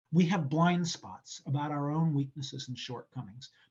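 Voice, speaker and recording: A somewhat breathy man with an American accent, fairly high pitch, ordinary pitch variation and a moderate pace. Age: 60s. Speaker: political science professor. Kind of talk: interview answer. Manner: reflective.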